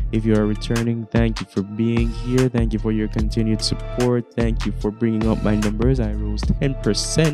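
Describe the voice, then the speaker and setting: A man speaks at a moderate pace in a Jamaican accent, with hardly any pauses. Clear music plays in the background. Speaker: YouTuber, content creator. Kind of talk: casual talk to camera. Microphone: handheld.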